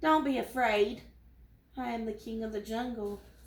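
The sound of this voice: The speaker uses a put-on character voice that sounds raspy. The pace is moderate. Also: woman, fairly high pitch for a woman.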